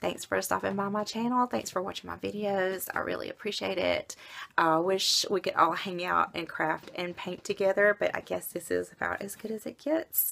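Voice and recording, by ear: Raspy and hoarse, a woman does a put-on character voice at medium pitch, keeping a moderate pace with hardly any pauses.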